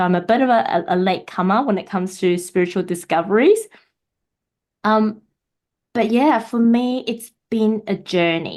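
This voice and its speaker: With a Mandarin accent, a woman talks at a moderate pace. Her intonation is lively, and the background is quiet. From Taiwan. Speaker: podcaster, spiritual guest. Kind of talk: casual interview chat.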